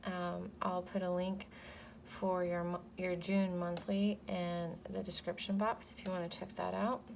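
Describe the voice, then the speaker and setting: Quiet and fairly slow, a woman speaks in a monotone with flat intonation. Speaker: tarot reader. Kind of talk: tarot reading. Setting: home. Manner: hesitant, many fillers.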